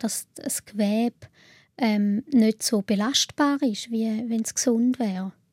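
In a Swiss accent, a woman speaks at a very slow pace with a fairly high pitch and fairly even intonation, recorded very cleanly against a silent background. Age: 30s. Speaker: patient sharing illness experience. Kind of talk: interview.

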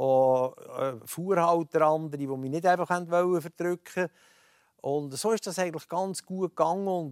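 In an Aargau accent, a man with a high pitch speaks at a fairly slow pace with ordinary pitch variation, the sound dry and close with no echo. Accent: Swiss German, Aargau dialect. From Switzerland, Aargau (Rothrist). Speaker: former politician and transport entrepreneur. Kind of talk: radio talk show interview. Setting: TV studio, broadcast live.

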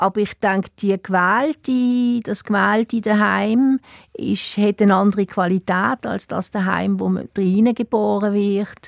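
A woman with a Swiss German accent talks at a fairly slow pace with fairly even intonation. The recording is very clean, with a silent background and a dry, close sound free of echo. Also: medium pitch for a woman. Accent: Swiss German accent, noticeable. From Switzerland, Basel. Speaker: writer. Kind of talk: radio interview. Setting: studio. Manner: hesitant, many fillers.

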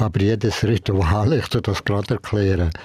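In a very clean recording with a silent background and a dry, close sound with no echo, a man speaks somewhat breathily in a dark, mellow tone at a fairly low pitch. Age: 80s+. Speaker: Jesuit priest and Zen master. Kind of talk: casual chat.

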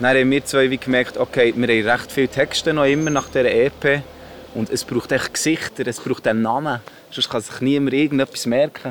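A man at medium pitch, monotone and flat, at a fairly quick pace amid noticeable background noise. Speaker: rapper. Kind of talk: interview.

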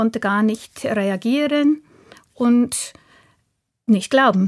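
A woman speaks with an English accent. Her fairly high-pitched voice is somewhat breathy. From southern England. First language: English (speaking German). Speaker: translator and language teacher. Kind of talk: radio interview. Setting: studio.

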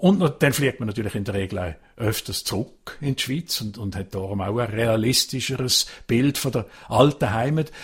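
With a Basel accent, a man talks at a moderate pace and medium pitch, somewhat breathy, his intonation lively and hardly any pauses in between. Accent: Swiss German (Basel region). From Switzerland, Basel-Landschaft (Pratteln). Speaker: foreign correspondent. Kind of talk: casual chat.

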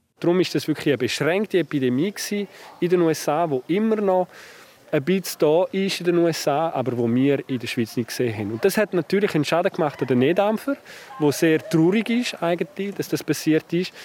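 A fairly quick voice with lively intonation, recorded dry and close with no echo, over noticeable background noise. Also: man, high pitch for a man. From French-speaking Switzerland. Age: 40s. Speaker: family doctor and professor. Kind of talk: interview. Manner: friendly.

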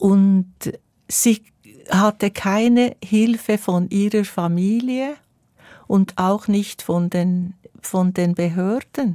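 A woman at a very slow pace with fairly even intonation, dry and close with no echo. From Switzerland, Bernese Emmental. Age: 70s. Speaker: singer. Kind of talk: interview.

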